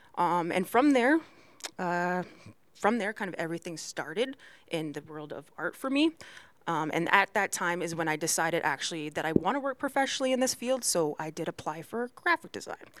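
Speaking fairly quickly, a woman lets her pitch swing very widely. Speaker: graphic designer. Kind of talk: casual chat.

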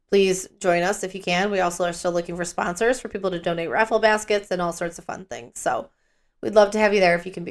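A woman with a fairly low voice speaks in an animated tone. The recording is very clean, with a silent background. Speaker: podcast co-host. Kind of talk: casual chat, true crime podcast. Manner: monotone, tired; animated, swears, expressive.

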